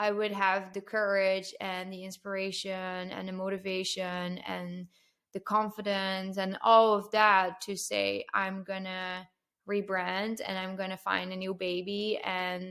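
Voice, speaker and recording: In a very clean recording with a silent background, a woman with a non-native accent speaks at a fairly slow pace, with a medium pitch and monotone, flat intonation. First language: not English. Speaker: marketing strategist and podcaster. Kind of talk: casual podcast interview. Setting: podcast recording.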